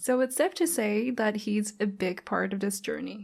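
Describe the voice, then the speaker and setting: A woman speaks in a Thai accent at a moderate pace, her pitch fairly high and her voice somewhat breathy. Her pitch varies in an ordinary way, and the recording is very clean with a silent background. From Thailand. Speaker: podcast host. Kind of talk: casual podcast monologue.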